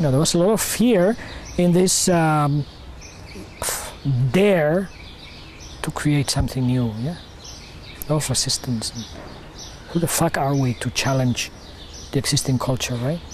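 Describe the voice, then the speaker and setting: A man with a Spanish accent and a fairly high pitch speaks at a moderate pace with long, frequent pauses over noticeable background noise. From Spain. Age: 50s. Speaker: community founder. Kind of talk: interview. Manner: halting.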